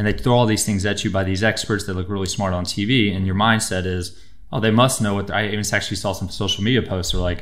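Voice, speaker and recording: Against a quiet background, a man speaks at a very fast pace with a fairly low pitch and monotone, flat intonation. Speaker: chiropractor guest. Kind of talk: interview answer. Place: studio. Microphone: studio mic.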